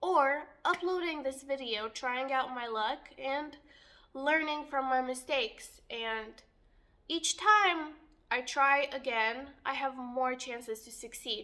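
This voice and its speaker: Very slow and raised, projected, a woman's high-pitched voice has a bright, sharp tone, ordinary pitch variation and big swings in loudness, heard in a very clean recording with a silent background. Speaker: youtuber. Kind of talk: monologue to camera.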